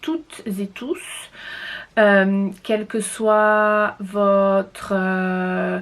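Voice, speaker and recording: A woman speaks at medium pitch in a flat monotone. Her pace is very slow. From France. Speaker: knitting podcaster. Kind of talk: casual monologue. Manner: halting, many fillers.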